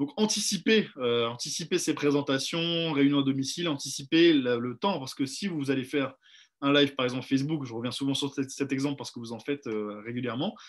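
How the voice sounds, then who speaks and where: A man with a fairly high voice speaks at a fairly quick pace, using ordinary pitch variation against a quiet background. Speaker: sales trainer. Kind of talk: online training session. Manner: fast; hesitant with fillers.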